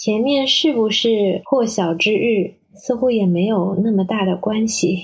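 A woman talks at a very slow pace. Her voice is somewhat breathy, with a medium pitch. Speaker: perfumer and translator. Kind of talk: recorded reflection message.

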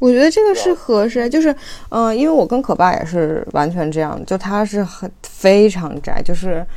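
With a dark, mellow tone, a woman at medium pitch speaks at a moderate pace, her voice making very wide pitch swings. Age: 20s. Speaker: doctoral student and mother, video creator. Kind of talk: casual discussion. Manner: halting, many fillers.

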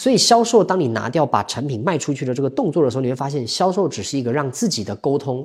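On a very clean recording with a silent background, a man with a fairly high, somewhat breathy voice races at a very fast pace with lively intonation and hardly any pauses. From Taiwan. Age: 30s. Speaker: sales coach and counselor. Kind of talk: interview.

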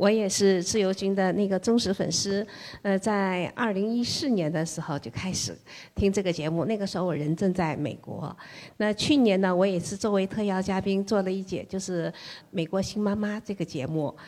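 At a moderate pace, a woman with a dark, mellow tone and medium pitch speaks with ordinary pitch variation in a very clean recording with a silent background. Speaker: listener and mom. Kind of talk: casual sharing at a meetup. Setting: live event with audience.

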